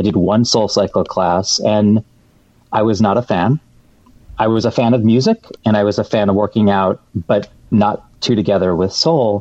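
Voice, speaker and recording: A man with a plain, everyday voice, fairly low pitch, an American accent, fairly even intonation, very even loudness and a moderate pace. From US Midwest, Metro Detroit, Michigan. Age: 40s. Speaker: television producer. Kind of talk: casual interview. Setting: remote call.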